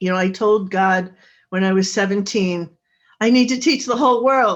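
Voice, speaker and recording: The woman's voice has a medium pitch and ordinary variation. She talks at a moderate pace. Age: 60s. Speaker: author and intimacy coach. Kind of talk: interview.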